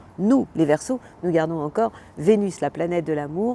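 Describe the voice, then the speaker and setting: Lively intonation runs through a woman's very deep, low voice with a dark, mellow tone. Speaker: astrologer. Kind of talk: weekly horoscope monologue. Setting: outdoors. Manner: animated.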